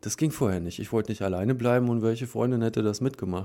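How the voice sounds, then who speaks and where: Heard on a very clean recording with a silent background, a man speaks at a medium pitch with ordinary pitch variation. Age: 40s. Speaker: polyamory meetup organizer. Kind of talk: interview. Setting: studio.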